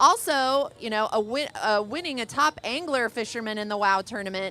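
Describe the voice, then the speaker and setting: Loud and bright, sharp in tone, a woman speaks with a fairly high pitch and lively intonation. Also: moderate pace. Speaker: event emcee. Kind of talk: live event hosting. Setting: outdoor pier with crowd.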